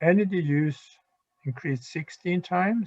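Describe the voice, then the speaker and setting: The speaker is a man who sounds somewhat breathy. He talks at a fairly slow pace with ordinary pitch variation. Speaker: university lecturer. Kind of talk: lecture. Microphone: too quiet for listeners.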